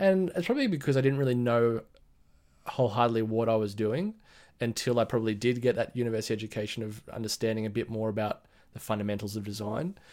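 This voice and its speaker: With an Australian accent, a man speaks at a very fast pace and medium pitch with ordinary pitch variation, on a very clean recording with a silent background. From Australia, Blue Mountains west of Sydney. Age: 30s. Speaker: brand identity designer and business owner. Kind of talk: casual interview chat.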